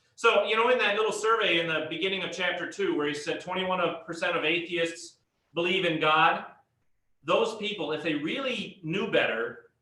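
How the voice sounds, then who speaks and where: A man with a high pitch speaks at a fairly quick pace, with audible room echo. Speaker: pastor teaching a Bible class. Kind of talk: lecture.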